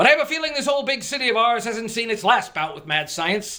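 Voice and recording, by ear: In a put-on character voice, a man talks at a fairly quick pace, extremely high-pitched with big pitch swings and a bright, sharp tone.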